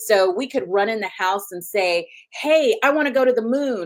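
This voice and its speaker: A woman speaks in a Southern US accent. Her tone is animated and her pace fairly slow. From US South (Huntsville, Alabama). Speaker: physician, OB-GYN. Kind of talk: interview.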